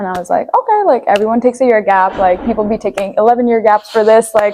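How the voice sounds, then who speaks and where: Very fast and fairly high, a woman speaks with an Armenian accent and ordinary pitch variation. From Nepal. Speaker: university student. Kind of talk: podcast interview.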